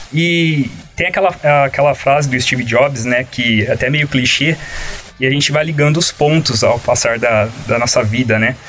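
Over noticeable background noise, a man with a medium-pitched voice speaks at a moderate pace with ordinary pitch variation. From São Paulo interior, Cravinhos near Ribeirão Preto. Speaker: designer and illustrator. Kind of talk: casual interview. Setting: studio.

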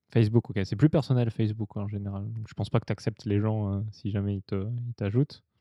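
A man rushes along at a very fast pace with hardly any pauses and fairly even intonation. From southern France. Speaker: podcast host. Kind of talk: interview. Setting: drinking sake during recording.

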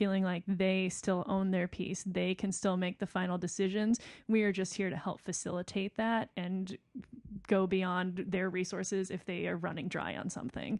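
In a very clean recording with a silent background, a woman with a Midwestern American accent talks at a moderate pace in a monotone, flat intonation. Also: medium pitch for a woman, dry, close sound with no echo. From Rockford, Illinois. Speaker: playwright and festival artistic director. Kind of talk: casual chat.

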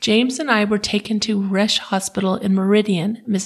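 Natural voice for reading aloud.

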